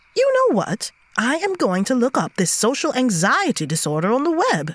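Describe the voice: Using a put-on character voice at a fairly high pitch, the speaker keeps a moderate pace while the pitch swings very widely.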